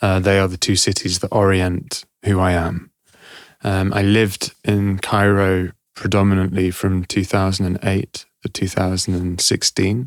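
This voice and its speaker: A man with a London accent, very deep and low, fairly slow and monotone, in a dry, close recording without echo. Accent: southern English (London). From London, England (born Glasgow, Egyptian parents). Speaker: actor and activist. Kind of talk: interview conversation. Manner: hesitant, many fillers.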